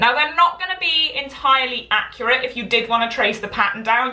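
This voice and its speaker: In a Welsh accent, a woman speaks at a fairly quick pace with a fairly high pitch and very wide pitch swings. Audible room echo and noticeable background noise are present. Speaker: sewing pattern designer and teacher. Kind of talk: Instagram live tutorial. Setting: live video stream. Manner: chatty, filler-heavy.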